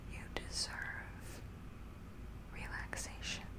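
Beneath loud background noise, a soft-spoken woman speaks in a soothing tone. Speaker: relaxation video host. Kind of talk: soft soothing sleep talk. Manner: very soft, slow soothing voice. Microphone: studio mic.

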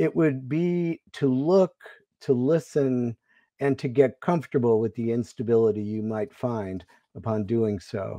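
A man speaks in a dark, mellow tone with lively intonation. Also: medium pitch for a man, quiet background. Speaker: literary organization director. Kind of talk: formal introduction. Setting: video call. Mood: warm, formal. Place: home room. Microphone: earbuds.

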